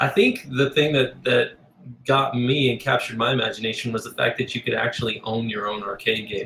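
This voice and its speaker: With an American accent and an ordinary speaking voice, a man talks at a fairly quick pace, his medium pitch and intonation fairly even. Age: 40s. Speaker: graphic designer and arcade cabinet maker. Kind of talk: podcast interview. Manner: casual, many fillers.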